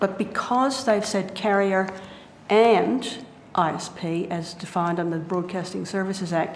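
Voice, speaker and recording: A woman speaks with an Australian accent at a medium pitch and ordinary pitch variation. Noticeable background noise and audible room echo are present. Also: moderate pace. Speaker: internet advocacy group witness. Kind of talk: parliamentary committee testimony. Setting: committee hearing room. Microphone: too quiet, hard to hear.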